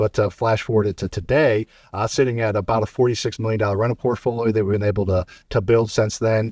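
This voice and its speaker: In a dry, close recording with no echo, a man with an American accent talks at a very fast pace, his fairly low voice somewhat breathy and his intonation fairly even. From US Midwest, St. Louis, Missouri. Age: 30s. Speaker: real estate investor. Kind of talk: podcast interview. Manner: casual; mumbling.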